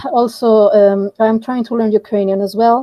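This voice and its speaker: Dry and close with no echo, a woman's voice has a dark, mellow tone, a Mexican accent, a moderate pace and fairly even intonation. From Mexico. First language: Spanish. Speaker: project volunteer, internal mobility manager. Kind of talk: online group voice chat.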